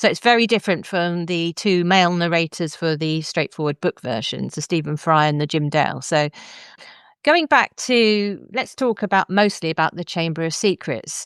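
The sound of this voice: A woman speaks at a moderate pace in a fairly low pitch with ordinary pitch variation. Her tone is clear and smooth, and the sound is dry and close with no echo.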